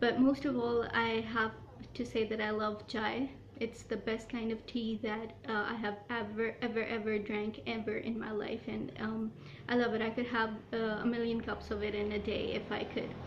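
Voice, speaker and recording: Over noticeable background noise, the voice keeps a monotone, flat intonation at a moderate pace. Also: woman, fairly high pitch for a woman. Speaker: YouTuber. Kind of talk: casual talk to camera.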